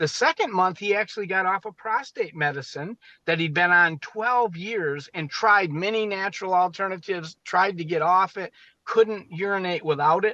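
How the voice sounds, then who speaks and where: In a dry, close recording with no echo and a quiet background, a man projects a raised voice with a high pitch and a bright, sharp tone, keeping a moderate pace and ordinary pitch variation. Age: 60s. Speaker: medical doctor. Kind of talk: interview.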